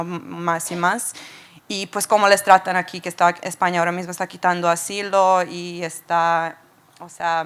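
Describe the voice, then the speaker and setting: With a Serbian accent, this woman talks at a moderate pace in a medium pitch, keeping her intonation fairly even. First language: Serbian (speaking Spanish). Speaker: audience member. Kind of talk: audience question at panel. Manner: halting.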